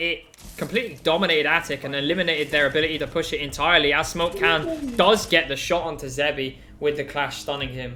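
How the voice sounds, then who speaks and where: With noticeable background noise, a man talks at a fairly quick pace in a fairly high pitch with ordinary pitch variation. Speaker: esports caster. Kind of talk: live commentary. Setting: live stream. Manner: animated.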